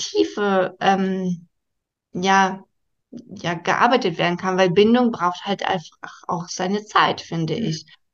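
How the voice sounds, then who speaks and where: A woman at a fairly slow pace with ordinary pitch variation over a quiet background, an unremarkable speaking voice. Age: 30s. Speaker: primary school teacher. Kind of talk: interview.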